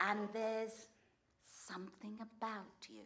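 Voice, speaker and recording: Speaking at a very slow pace, a woman with a medium pitch is heard with audible room echo. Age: 60s. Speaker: storyteller. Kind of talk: personal essay read on stage. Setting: stage with audience.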